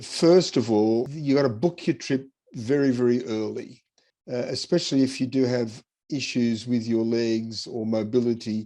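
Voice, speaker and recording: A man with an Australian accent speaks at a moderate pace in a dark, mellow tone. His pitch is medium, with ordinary pitch variation. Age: 70s. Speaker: person with haemophilia sharing travel tips. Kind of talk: interview-style advice talk. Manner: casual, with hesitations and repeats.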